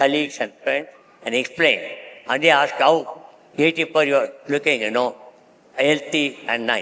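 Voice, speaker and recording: Amid noticeable background noise, a man talks with fairly even intonation. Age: 80s+. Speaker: honorary consul and industrialist. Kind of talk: panel discussion. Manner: halting.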